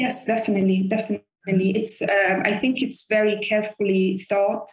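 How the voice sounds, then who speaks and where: Somewhat breathy, the voice has an Italian accent and keeps a moderate pace. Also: woman. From Italy. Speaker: orchestra conductor. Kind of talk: interview. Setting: video call.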